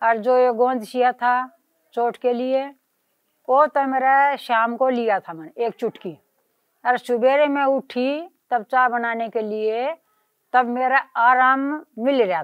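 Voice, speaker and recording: A woman with a high pitch and ordinary pitch variation talks. Her speech has long, frequent pauses. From Haryana, India. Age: 60s. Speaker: patient giving testimonial. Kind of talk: testimony.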